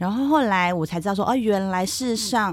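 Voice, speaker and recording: A woman speaks in an ordinary speaking voice. Her pitch is medium and her pace moderate. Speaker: geriatric nurse. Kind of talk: casual chat.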